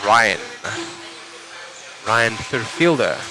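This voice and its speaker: Very slow pace amid noticeable background noise. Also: man. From South Africa, Cape Town. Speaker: RC race commentator. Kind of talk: live commentary; casual chat with viewers. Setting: live stream.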